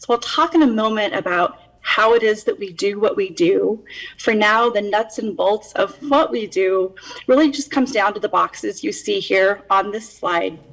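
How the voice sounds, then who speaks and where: There is noticeable background noise as a woman speaks at a moderate pace. Her fairly high voice has lively intonation. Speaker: county department head. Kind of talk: budget presentation. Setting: video call. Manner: formal.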